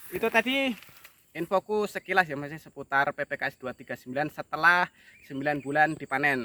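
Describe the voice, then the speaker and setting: A man with a bright, sharp tone speaks at a fairly high pitch and a fairly quick pace. His pitch varies in an ordinary way, while his loudness swings widely. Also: dry, close sound with no echo. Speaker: oil palm farmer. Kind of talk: casual tutorial vlog. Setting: outdoors in plantation.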